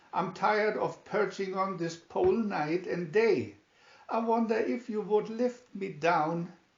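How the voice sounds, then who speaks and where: A man's husky, put-on character voice, high in pitch, at a fairly slow pace. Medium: read story.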